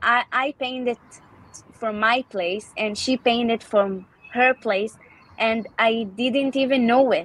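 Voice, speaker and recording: At a very slow pace, a woman talks with a fairly high pitch and ordinary pitch variation amid noticeable background noise. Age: 30s. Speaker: art therapist. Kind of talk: casual interview. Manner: halting.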